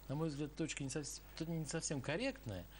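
At a very fast pace, a man speaks in a somewhat breathy voice over light background noise. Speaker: TV host. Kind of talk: live TV interview. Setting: studio. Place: studio.

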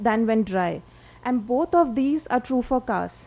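A woman speaks with a high pitch. Her tone is dark and mellow. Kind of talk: lecture. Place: hall.

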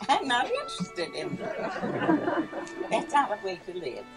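The speech goes at a very slow pace. Clear music plays in the background. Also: woman. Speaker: speaker. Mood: lively, humorous. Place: garden. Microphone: podium.

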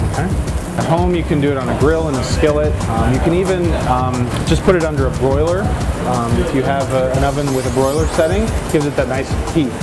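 A man talking at a very fast pace over loud background music. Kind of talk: cooking tutorial. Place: kitchen. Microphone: lapel.

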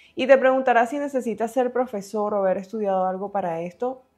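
Her intonation is lively as this woman talks. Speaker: online career educator. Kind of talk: scripted narration. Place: home room. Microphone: lapel.

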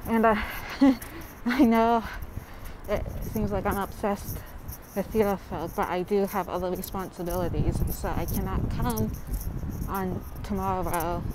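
Amid loud background noise yet in a dry sound with no echo, a woman speaks at a fairly slow pace with long, frequent pauses. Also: ordinary pitch variation. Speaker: vlogger. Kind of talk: casual vlog chat. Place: street. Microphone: earbuds.

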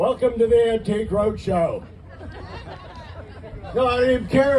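Over light background noise, a man speaks at a moderate pace with fairly even intonation, very even loudness and long, frequent pauses. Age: 80s+. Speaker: stand-up comedian. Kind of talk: stand-up comedy set. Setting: outdoors. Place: stage.

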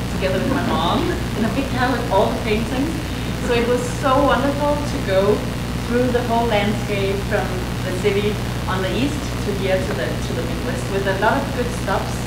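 A woman speaks at a moderate pace, with long, frequent pauses. Loud background noise and audible room echo fill the recording. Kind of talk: lecture. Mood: warm, cheerful. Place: hall.

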